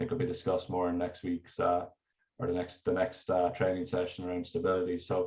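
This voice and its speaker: Speaking very fast, a man has a very deep, low pitch and an Irish accent. His voice is somewhat breathy, with ordinary pitch variation. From Ireland. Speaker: energy researcher. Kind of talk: technical presentation. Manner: halting, many fillers and repetitions.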